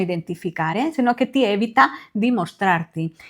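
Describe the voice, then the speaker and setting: A fairly high-pitched woman with a Spanish accent, lively intonation and a moderate pace, on a very clean recording with a silent background. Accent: Spanish accent in Italian. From Spain, Barcelona. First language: Spanish (speaking Italian). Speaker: beauty consultant and sales team leader. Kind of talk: tutorial.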